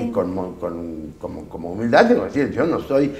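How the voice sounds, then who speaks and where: A man talks at a moderate pace with lively intonation. Noticeable background noise runs underneath. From Chaco, Argentina. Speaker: writer and journalist. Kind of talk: interview answer.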